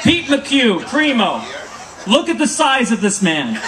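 A man talks at a medium rate while background noise is clearly audible. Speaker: councilmember doing roast comedy. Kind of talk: roast comedy. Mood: playful, joking. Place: stage. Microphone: camera far.

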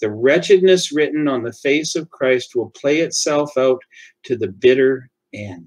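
This is a man speaking. He has an ordinary speaking voice. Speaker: church devotional reader. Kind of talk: fervent prayer, hushed and reverent, closing a devotional reading. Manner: slow, earnest, solemn, heartfelt; formal, measured.

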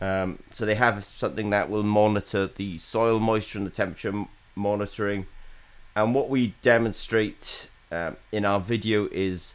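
With a normal speaking voice, a man talks at a moderate pace in a fairly low pitch. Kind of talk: business vlog commentary. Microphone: webcam.

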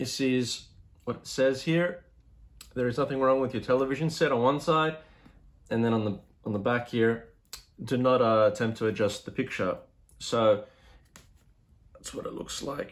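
A man of medium pitch with an Australian accent, leaving long, frequent pauses. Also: ordinary pitch variation. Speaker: YouTube vlogger. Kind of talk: unboxing video, reading the back-cover blurb in a mock 1960s sci-fi announcer tone. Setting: home, solo to camera. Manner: casual, rambling, with fillers; deliberate, ominous, mock-dramatic announcer delivery when reading the blurb. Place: home room. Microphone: phone near.

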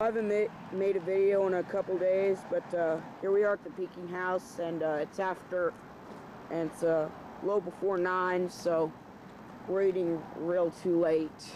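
The pace is moderate, with light background noise. The sound is dry, without echo. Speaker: vlogger. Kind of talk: casual vlog chat. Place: cafe. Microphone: old recording.

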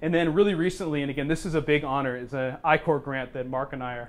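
American accent from a man. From Oregon. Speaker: business professor. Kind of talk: presentation. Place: meeting room. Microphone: lapel.

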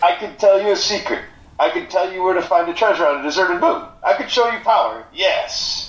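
A man puts on a character voice, high in pitch with very wide swings, at a fairly quick pace. There is a slight echo and some hissing. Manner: mysterious, theatrical, hissing yes-filler.

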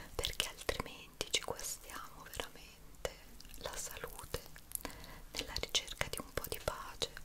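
At a fairly slow pace, a woman whispers. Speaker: ASMR creator. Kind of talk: soft-spoken ASMR chat to viewers. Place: home room.

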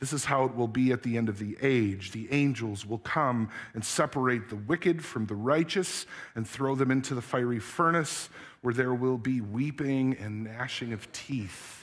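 A man at a moderate pace, with ordinary pitch variation and a quiet background. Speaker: pastor. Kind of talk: sermon. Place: church. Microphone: headset.

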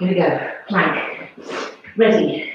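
Against a quiet background but with strong room echo, a woman speaks with ordinary pitch variation. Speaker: fitness instructor. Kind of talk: workout instruction. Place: home room. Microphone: camera far.

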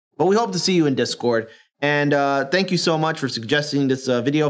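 The man's delivery is fairly quick and his intonation lively, with only a quiet background behind him. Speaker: reaction video host. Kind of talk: reaction video commentary. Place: studio.

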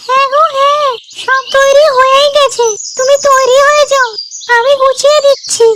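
A cartoonish character voice talks at a fairly slow pace. The intonation is flat and monotone, with light background noise. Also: woman, extremely high pitch for a woman. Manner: sweet, affectionate.

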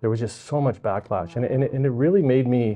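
This is a man speaking with a Western Canadian accent. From Vancouver Island, British Columbia, Canada; British Columbia, Canada. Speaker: provincial politician, election candidate. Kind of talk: interview. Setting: library. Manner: halting, many fillers and repetitions. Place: studio. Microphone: lapel.

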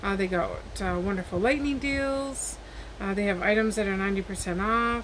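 A woman at a moderate pace with ordinary pitch variation, over noticeable background noise. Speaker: haul vlogger. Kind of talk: casual vlog chat. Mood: friendly, upbeat. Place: home room. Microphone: webcam.

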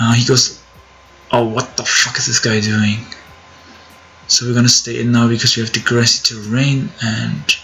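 Fairly even intonation and long, frequent pauses mark this speech, heard through noticeable background noise. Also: man, medium pitch for a man, moderate pace. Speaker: gaming youtuber. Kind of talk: live gameplay commentary.

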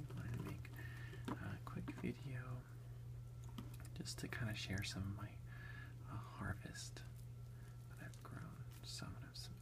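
The speech moves at a very slow pace. Loud background noise fills the clip. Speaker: ASMR creator, home gardener. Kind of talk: casual talk to camera, whisper eating ASMR. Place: home room. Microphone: phone near.

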